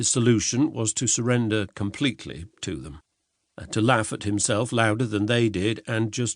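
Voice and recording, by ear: Over a quiet background, the speaker is reading aloud in a natural voice with fairly even intonation.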